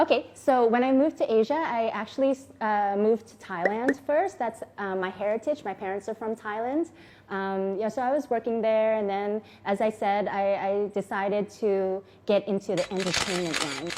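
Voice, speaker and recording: A woman speaks at a moderate pace, her pitch fairly high for a woman. Her pitch varies in an ordinary way. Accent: American. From US, Enid, Oklahoma. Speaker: vlogger, model and TV actress. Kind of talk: personal testimony vlog. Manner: casual, hesitant with fillers.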